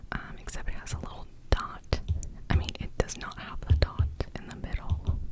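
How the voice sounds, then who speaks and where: Noise is clearly audible in the background. Someone speaks in a whisper. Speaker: ASMR creator teaching Arabic. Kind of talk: ASMR tutorial. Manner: whispering; slow.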